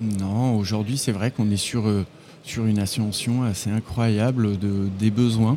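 A man speaks at a very slow pace with a fairly low pitch and a dark, mellow tone. His intonation stays fairly even. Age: 40s. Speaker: sales manager at a screw manufacturer. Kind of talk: trade show interview. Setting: trade fair stand. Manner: hesitant, many fillers.

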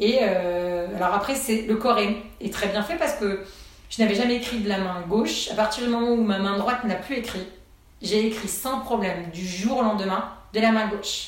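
A woman's fairly high voice at a moderate pace, with ordinary pitch variation, audible room echo and noticeable background noise. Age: 40s. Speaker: entrepreneur and HR consultant, burnout survivor. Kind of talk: testimony.

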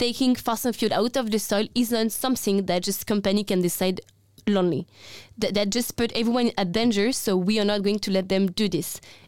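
Medium pitch from a woman, very even in loudness, with fairly level intonation. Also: fairly quick pace, very clean recording, silent background. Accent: French. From France. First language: French. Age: 20s. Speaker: climate activist. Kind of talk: casual conversation.

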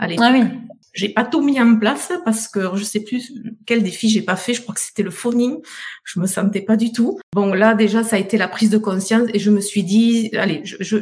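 A woman with a normal speaking voice talks at a moderate pace, pitched fairly high with ordinary pitch variation. Her loudness swings widely. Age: 50s. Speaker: beauty salon owner. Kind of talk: testimony.

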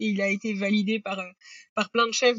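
Fairly high-pitched and monotone, a woman speaks at a fairly quick pace with flat intonation. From Normandy, France. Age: 30s. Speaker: company founder. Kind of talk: casual interview.

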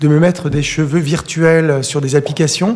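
A normal speaking voice from a man, fairly high in pitch, at a fairly slow pace. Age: 40s. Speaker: interviewee sharing cosmetic surgery experience. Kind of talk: testimony.

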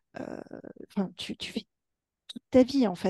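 A woman talks at a very slow pace, her tone dark and mellow and somewhat breathy. The sound is dry and close, with no echo. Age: 40s. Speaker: hypnotherapist. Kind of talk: interview.

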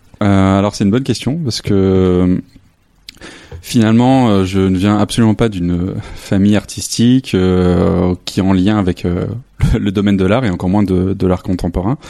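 A man speaks at a moderate pace, his pitch fairly low. His intonation is fairly even and his loudness very even. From northern France, near Lille. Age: 30s. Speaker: photographer. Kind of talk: interview. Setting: home studio. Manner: halting.

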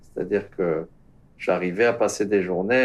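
A man's ordinary speaking voice, with ordinary pitch variation and a fairly slow pace. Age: 60s. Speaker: teacher and former dairy farmer. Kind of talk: interview.

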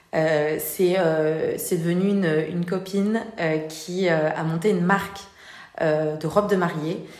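Amid noticeable background noise and audible room echo, a woman with a fairly low pitch speaks at a very slow pace with fairly even intonation. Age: 30s. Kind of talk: interview. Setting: showroom. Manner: hesitant, many fillers.

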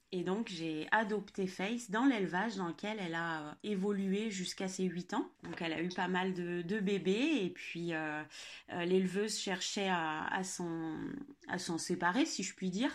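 Using an ordinary speaking voice, a woman talks at a fairly slow pace, her medium pitch showing ordinary variation. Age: 30s. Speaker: dog owner. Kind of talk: casual chat.

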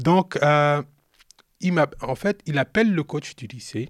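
This man speaks at a very slow pace with lively intonation. His pitch sits fairly high. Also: dry, close sound with no echo. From Cameroon. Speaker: retired pro basketball player, youth mentor. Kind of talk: storytelling interview. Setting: live recording with his son present. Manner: animated.

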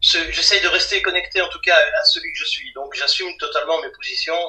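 A man at a moderate pace. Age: 50s. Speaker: comic book artist and writer. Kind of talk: interview. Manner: halting, repeats words.

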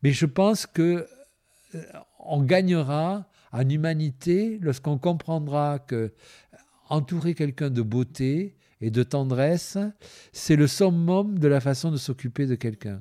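Very slow, with long, frequent pauses, a man speaks in a dark, mellow tone. The recording is very clean, with a silent background. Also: fairly high pitch for a man, ordinary pitch variation. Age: 60s. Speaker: activist. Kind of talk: interview. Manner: halting.

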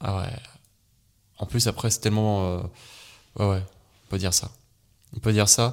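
At a fairly quick pace, a man talks with fairly even intonation, a fairly low pitch and a somewhat breathy quality. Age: 20s. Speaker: hypnotherapist. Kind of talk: casual interview.

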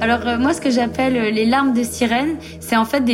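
A woman speaks fairly quickly in a high, monotone voice with flat intonation. Background noise is noticeable. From Saint-Martin (Caribbean). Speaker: professional surfer. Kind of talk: interview testimony.

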